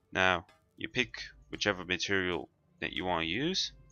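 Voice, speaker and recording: A man at a fairly slow pace, music in the background. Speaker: gamer. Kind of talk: game tutorial narration. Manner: casual, hesitant.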